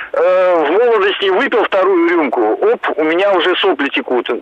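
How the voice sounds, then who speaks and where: Noticeable background noise sits behind a man's voice. His pitch is high, with ordinary pitch variation. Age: 40s. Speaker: caller. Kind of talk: call-in testimony. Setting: phone call.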